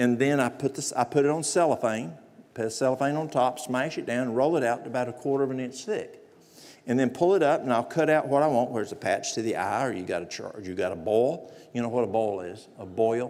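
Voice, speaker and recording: Amid audible room echo, a man with a Southern US accent talks fairly quickly at a medium pitch, his intonation lively. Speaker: natural remedies presenter. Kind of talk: lecture.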